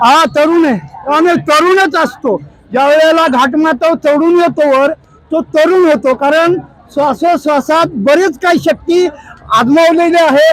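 With crowd noise in the background, a man speaks at an extremely high pitch and a very even loudness. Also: ordinary pitch variation. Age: 70s. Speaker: pilgrim on the Wari walk. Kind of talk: interview answer. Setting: outdoors. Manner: enthusiastic.

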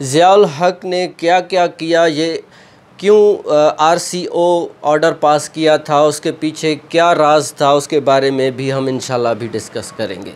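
At a fairly slow pace, a man talks with a fairly high pitch and fairly even intonation.

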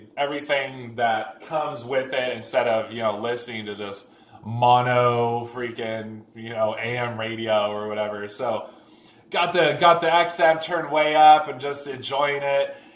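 With audible room echo, a man speaks at a fairly slow pace, his loudness swinging widely. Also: ordinary pitch variation. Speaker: car vlogger. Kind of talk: casual vlog chat, storytelling. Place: garage.

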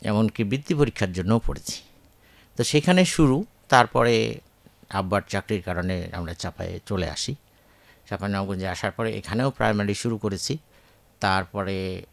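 On a very clean recording with a silent background, a man speaks at a fairly low pitch with ordinary pitch variation, the sound dry and close with no echo. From Bangladesh, Chapainawabganj. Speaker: retired agricultural scientist. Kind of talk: radio interview.

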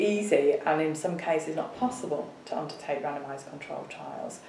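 In a Yorkshire accent, a woman speaks at a fairly slow pace amid light background noise and audible room echo. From northern England, Bradford; northern England. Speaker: professor of epidemiology. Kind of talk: interview. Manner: halting. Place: office.

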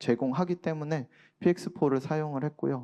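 Quiet background, with a man speaking at a fairly slow pace in a fairly high pitch. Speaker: aerospace researcher. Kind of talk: conference presentation. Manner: halting, many fillers.

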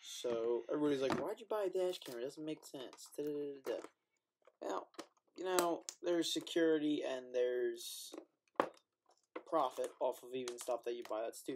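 A man's speech broken by long, frequent pauses, over noticeable background noise. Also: moderate pace. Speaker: product reviewer. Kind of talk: casual vlog chat. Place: home room. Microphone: webcam.

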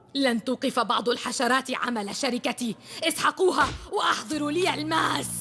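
In a cartoonish character voice, a woman speaks high-pitched and fairly quickly with a bright, sharp tone, vocal fry, ordinary pitch variation, and faint background noise.

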